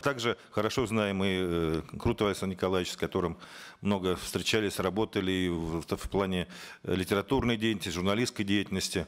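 Over a quiet background, a man speaks at a fairly quick pace. His pitch is very deep and low, with fairly even intonation. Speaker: member of parliament; conference speaker. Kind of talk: formal political speech. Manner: formal. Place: meeting room. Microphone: podium.

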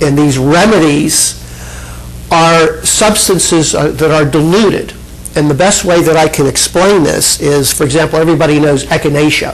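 Fairly even intonation runs through speech delivered at a moderate pace. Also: man. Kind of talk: lecture. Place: hall. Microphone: handheld.

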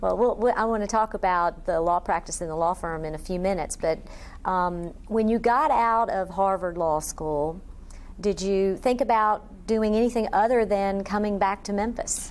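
At a moderate pace, a woman with an unremarkable speaking voice talks at medium pitch with ordinary pitch variation. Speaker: interviewer. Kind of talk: oral history interview. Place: office.

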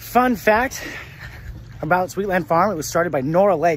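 With lively intonation and a fairly quick pace, a man is heard in a dry sound with no echo and light background noise. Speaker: local food vlogger. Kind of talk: casual vlog chat. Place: garden. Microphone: phone near.

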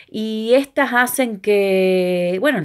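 A woman is speaking with ordinary pitch variation. The background is quiet. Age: 40s. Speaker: video blogger. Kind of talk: personal reflection monologue. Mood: reflective, upbeat. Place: home room. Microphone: phone near.

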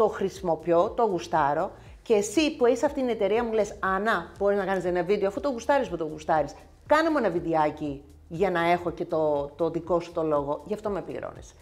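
Her intonation is lively. The woman keeps a moderate pace. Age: 50s. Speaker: nail technician and content creator; content creator. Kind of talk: casual chat. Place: home room. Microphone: lapel.

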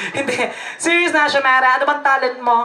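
This woman speaks with a high pitch. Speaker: party host. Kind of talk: comic emcee interview banter. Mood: playful, teasing. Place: hall. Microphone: handheld.

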